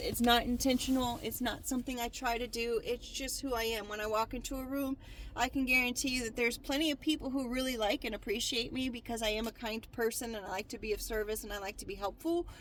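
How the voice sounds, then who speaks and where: Loud, very fast delivery. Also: woman. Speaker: tarot card reader. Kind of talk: tarot reading. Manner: hesitant, many fillers.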